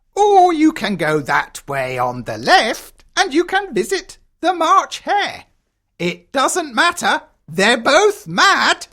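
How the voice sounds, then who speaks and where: A high-pitched, put-on character voice at a very slow pace. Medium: audio drama. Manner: sly, teasing.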